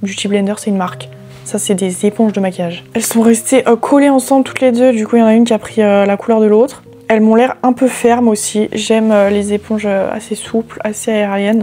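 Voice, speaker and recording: Noticeable background noise sits behind a woman with a fairly high pitch. She speaks at a fairly quick pace with ordinary pitch variation. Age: 20s. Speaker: beauty YouTuber. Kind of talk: product unboxing review. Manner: casual, many hesitations; animated.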